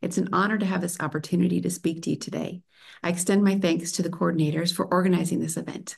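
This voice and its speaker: A woman with a fairly low pitch and vocal fry talks at a very fast pace with fairly even intonation. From United States. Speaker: PhD researcher. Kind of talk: conference talk. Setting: remote video presentation. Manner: formal.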